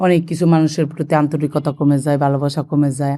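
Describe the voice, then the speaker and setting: A woman with a very deep, low pitch and a dark, mellow tone speaks in a monotone, flat intonation on a very clean recording with a silent background. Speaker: family vlogger. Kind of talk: vlog narration.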